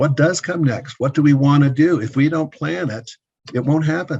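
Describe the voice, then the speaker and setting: Slightly breathy, a man's voice proceeds at a medium speed. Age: 60s. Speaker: business consultant, former building contractor. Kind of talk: interview.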